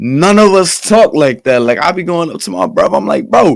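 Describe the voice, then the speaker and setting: Very wide pitch swings mark the man's speech, along with vocal fry. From Baltimore, Maryland, US. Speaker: gamer and streamer. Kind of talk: casual podcast chat. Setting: podcast.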